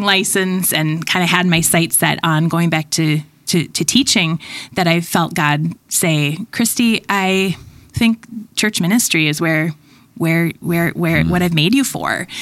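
A normal speaking voice with an American accent, ordinary pitch variation, and a moderate pace. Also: woman. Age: 40s. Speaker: children's ministry pastor. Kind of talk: casual chat.

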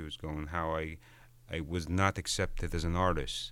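A man with an Arabic accent and a very deep, low pitch speaks at a moderate pace on a very clean recording with a silent background. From Egypt. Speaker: visual artist. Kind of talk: interview. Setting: studio.

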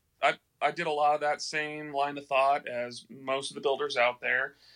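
With an American accent, a man speaks at a moderate pace in a fairly high pitch and a bright, sharp tone over a quiet background. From Texas. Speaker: fly rod builder. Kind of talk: casual chat. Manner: animated.

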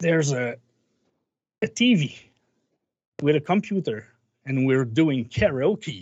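In a Quebec accent, the speaker moves at a very slow pace with long, frequent pauses and very wide pitch swings. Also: man, fairly high pitch for a man. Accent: Québécois French-accented English. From Quebec, Canada. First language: French. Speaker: musician. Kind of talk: casual interview chat. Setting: video call. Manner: halting.

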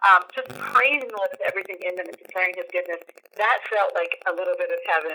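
A woman with an American accent, at a very fast pace with big swings in loudness. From Pennsylvania, US. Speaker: missionary. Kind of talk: radio interview, testimony.

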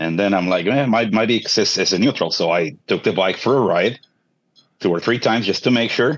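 A man's fairly low voice, an ordinary speaking voice, at a fairly quick pace with ordinary pitch variation over a quiet background. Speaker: motorcyclist asking a question. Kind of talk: casual chat. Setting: video call.

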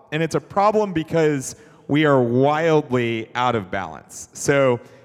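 A plain, everyday voice with an American accent. The intonation is lively. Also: man. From US South, Atlanta. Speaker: investor and entrepreneur. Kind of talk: onstage interview in church.

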